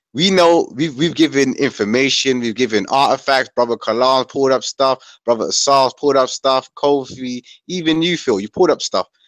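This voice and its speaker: Delivered at a moderate pace with hardly any pauses and ordinary pitch variation, an unremarkable speaking voice comes through with a dry sound, no echo and a quiet background. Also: man, medium pitch for a man. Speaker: panelist. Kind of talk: heated debate. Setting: video call. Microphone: video call.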